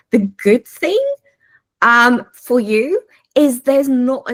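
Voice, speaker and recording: A woman with a South African accent, animated in tone, in a dry, close sound with no echo. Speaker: AI consultant. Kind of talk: webinar talk. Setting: video call.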